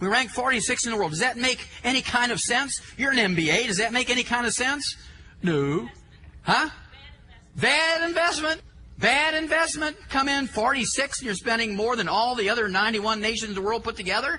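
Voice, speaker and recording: Over noticeable background noise, a man uses a raised, projected voice at an extremely high pitch with lively intonation. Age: 60s. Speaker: health lecturer. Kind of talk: lecture. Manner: animated.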